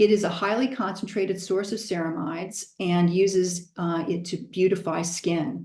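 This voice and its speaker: Her voice is somewhat breathy, with a dark, mellow tone and a fairly low pitch for a woman. Speaking in an American accent, she keeps a moderate pace and ordinary pitch variation. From Southern California. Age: 60s. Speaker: product presenter. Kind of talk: product presentation.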